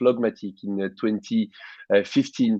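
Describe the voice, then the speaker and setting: Moderate pace and ordinary pitch variation with a French accent, against a quiet background. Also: man. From France. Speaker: tech company CEO and co-founder. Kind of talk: interview. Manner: hesitant, many fillers.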